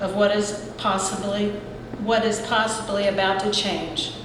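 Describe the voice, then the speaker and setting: The speaker has an American accent. Noticeable background noise and audible room echo fill the recording. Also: woman. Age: 60s. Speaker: resident speaking at public hearing. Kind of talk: public comment at council meeting. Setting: public meeting hall with audience. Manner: earnest, prepared remarks.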